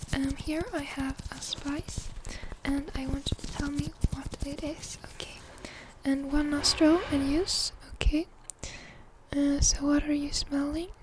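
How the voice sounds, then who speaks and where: Soft-spoken and calm, the voice moves at a fairly slow pace with long, frequent pauses against noticeable background noise. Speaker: ASMR creator playing a doctor. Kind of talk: ASMR medical role-play, soft-spoken. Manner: soft-spoken, calm.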